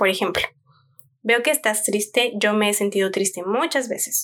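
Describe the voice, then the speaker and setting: A woman talks at a moderate pace in a calm tone. Her pitch sits fairly high. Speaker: parenting podcast host. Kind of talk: solo podcast talk.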